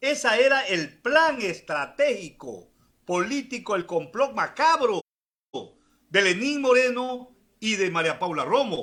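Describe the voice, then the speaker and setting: Raised and projected, a man's high-pitched voice carries a bright, sharp tone and lively intonation. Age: 60s. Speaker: politician. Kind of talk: political interview.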